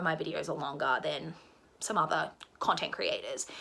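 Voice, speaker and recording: Over noticeable background noise, a woman with an Australian accent talks with ordinary pitch variation. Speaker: book vlogger. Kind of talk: casual monologue to camera. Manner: fast.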